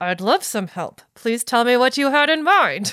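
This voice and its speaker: A woman puts on a strained, high-pitched character voice with very wide pitch swings at a moderate pace. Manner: forced politeness, through clenched teeth, strained.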